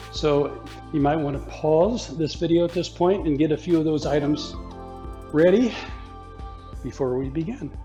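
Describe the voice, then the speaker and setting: Music plays in the background as a man talks with long, frequent pauses. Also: moderate pace. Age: 70s. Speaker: yoga teacher. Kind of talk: guided exercise class.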